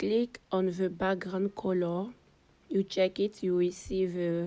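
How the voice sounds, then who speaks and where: A woman with a non-native accent speaks at a very slow pace in a dark, mellow tone. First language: not English. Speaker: digital artist. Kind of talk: tutorial.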